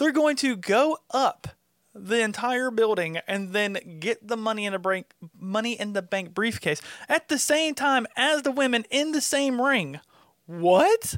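In a very clean recording with a silent background and a dry, close sound with no echo, a man with a Southern US accent speaks at a fairly slow pace, his pitch extremely high for a man and his intonation lively. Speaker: wrestling podcast co-host and cameraman. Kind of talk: casual chat.

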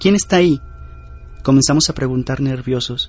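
A man's fairly high voice is heard with music in the background. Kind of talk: ghost story telling, first-person creepypasta narration. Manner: earnest, direct address to listener.

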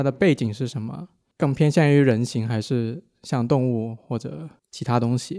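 With a dark, mellow tone, a man talks at a moderate pace and varies his pitch in an ordinary way. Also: medium pitch for a man, very clean recording, silent background. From Guangdong, southern China. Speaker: geology PhD student, listener. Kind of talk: casual chat.

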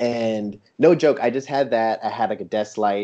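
With a West Coast US accent, a man speaks at a medium pitch with ordinary pitch variation. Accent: General American (West Coast). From San Diego, California. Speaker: toy photographer. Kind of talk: casual interview chat. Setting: remote call.

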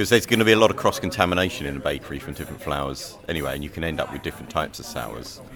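Amid noticeable background noise, a man with a British accent speaks at a very fast pace in a very deep, low voice with very wide pitch swings. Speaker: baker.

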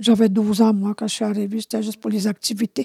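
A woman's fairly high, somewhat breathy voice stays monotone and flat. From Quebec, Abitibi (Anishinabe community). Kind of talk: testimony. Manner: halting.

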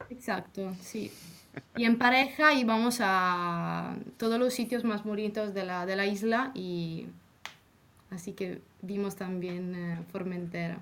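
Someone with an Italian accent speaks at a very slow pace with ordinary pitch variation. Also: woman, medium pitch for a woman. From Italy. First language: Italian (speaking Spanish). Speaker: former exchange student. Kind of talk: casual interview.

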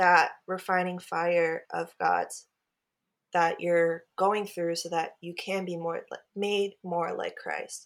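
A woman with an American accent speaks at a very slow pace. The recording is very clean, with a silent background. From US West Coast, Portland, Oregon. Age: 20s. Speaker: worship leader and ministry worker. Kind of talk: testimony.

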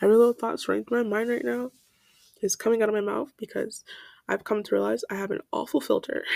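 Speaking at a very fast pace, a woman is heard in a dry, close sound with no echo. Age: 19. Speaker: podcast host and college student. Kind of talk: unscripted solo monologue. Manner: casual, with many fillers.

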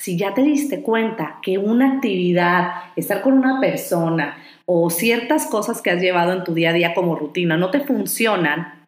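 A woman's lively intonation carries at a fairly slow pace, with audible room echo around her. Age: 30s. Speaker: life coach and podcast host. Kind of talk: motivational monologue.

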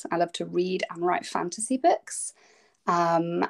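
Speaking at a moderate pace with an English Midlands accent, a woman is heard on a very clean recording with a silent background and a dry, close sound with no echo. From England, Derbyshire. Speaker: children's fantasy author. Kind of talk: casual interview.

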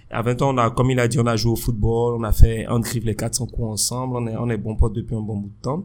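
Talking at a fairly quick pace, a man keeps a medium pitch with monotone, flat intonation. His loudness swings widely. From Benin. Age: 30s. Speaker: podcast co-host. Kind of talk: casual chat.

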